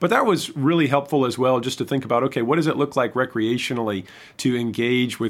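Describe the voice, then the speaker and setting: Fairly quick in pace, a man speaks at a medium pitch with ordinary pitch variation in an unremarkable speaking voice. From Michigan. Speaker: pastor. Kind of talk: podcast interview.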